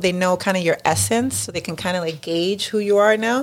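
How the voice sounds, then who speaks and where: A woman talks with a New York accent. Her pitch variation is ordinary. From New York City (Lower East Side). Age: 40s. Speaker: mother, friend of host. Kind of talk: casual chat.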